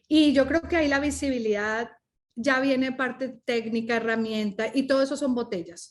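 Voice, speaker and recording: At a moderate pace, a woman talks in an animated tone with a high pitch. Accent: Spanish. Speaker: coach and speaker. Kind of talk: podcast interview.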